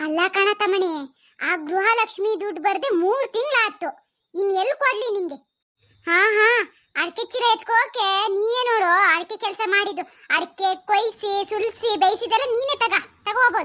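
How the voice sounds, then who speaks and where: A squeaky, cartoonish character voice is used. It moves at a fairly slow pace. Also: woman, extremely high pitch for a woman. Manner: chatty, homely.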